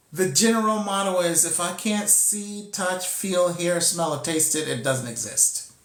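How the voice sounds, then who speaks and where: A man's high-pitched voice at a fairly slow pace, with ordinary pitch variation and audible room echo. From Costa Rica. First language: Spanish. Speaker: spiritual teacher. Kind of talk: spiritual teaching talk. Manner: halting, with repetitions.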